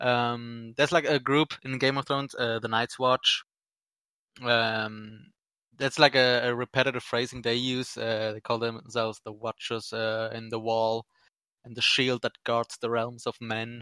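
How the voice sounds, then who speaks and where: A man speaks at a medium pitch and a fairly slow pace, in a bright, sharp tone with monotone, flat intonation. The sound is dry and close with no echo, and the recording is very clean with a silent background. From Switzerland, Sri Lankan Tamil family. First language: Tamil. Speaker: podcast guest. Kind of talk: casual chat. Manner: halting, many fillers.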